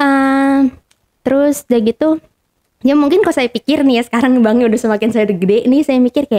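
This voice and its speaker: A woman speaks in a high pitch with a dark, mellow tone, ordinary pitch variation and very even loudness. The sound is dry and close, with no echo. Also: fairly quick pace. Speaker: podcast guest sharing life story. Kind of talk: casual chat. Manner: animated.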